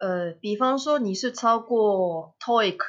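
In a Japanese accent, a woman speaks at a fairly slow pace with ordinary pitch variation. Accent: Japanese accent in Mandarin. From Japan, Kobe (Kansai). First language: Japanese (speaking Chinese). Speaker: language teacher. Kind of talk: interview. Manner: halting, many fillers.

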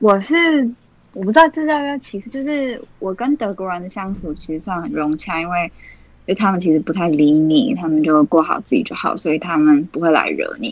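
At a moderate pace, a woman speaks with very wide pitch swings. Her loudness swings widely too. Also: medium pitch for a woman. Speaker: university student. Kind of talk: casual chat.

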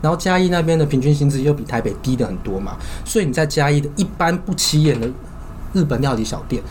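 Audible room echo surrounds a man with a fairly high pitch. He speaks at a very fast pace with ordinary pitch variation. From southern Taiwan. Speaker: podcast co-host. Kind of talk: casual chat. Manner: animated.

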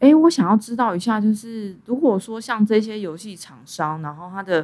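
The intonation here is lively. It is an ordinary speaking voice, moving at a moderate pace. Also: woman. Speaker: podcast host. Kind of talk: casual interview. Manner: frequent laughter.

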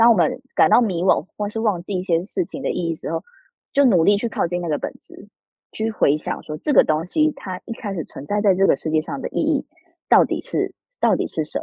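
A woman speaks in a plain, everyday voice at a medium pitch. Her intonation is lively and her pace fairly quick. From Taiwan. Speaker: author. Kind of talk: interview.

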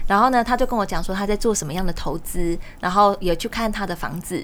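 Her intonation lively and her pace fairly quick, a woman talks in an unremarkable speaking voice. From Taiwan, Changhua. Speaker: real estate platform CEO and author. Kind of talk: interview.

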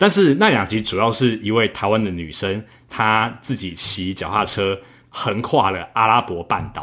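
This man has a normal speaking voice with a fairly low pitch. He talks at a fairly slow pace with ordinary pitch variation. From Taiwan. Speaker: software engineer and travel podcaster. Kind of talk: casual interview.

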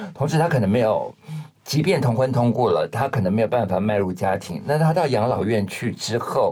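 The man's voice is dark and mellow at medium pitch, somewhat breathy. His intonation is lively and his loudness very even. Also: fairly quick pace. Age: 50s. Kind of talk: interview conversation.

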